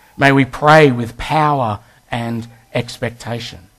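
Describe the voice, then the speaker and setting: With an Australian accent, a man speaks at a very slow pace. His pitch sits at medium, with ordinary variation. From Western Australia. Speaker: guest preacher. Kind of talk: sermon.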